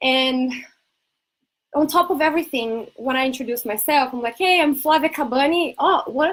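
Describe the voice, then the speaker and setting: Speaking at a moderate pace, a woman has a high voice with ordinary pitch variation. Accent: Brazilian. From Brazil. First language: Portuguese. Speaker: ADHD coach and entrepreneur. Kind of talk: casual talk to camera.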